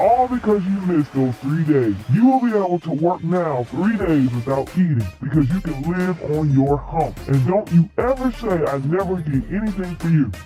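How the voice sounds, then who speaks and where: Clear music plays in the background as a man does a put-on character voice, high in pitch, at a moderate pace. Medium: read story. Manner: stern, lecturing.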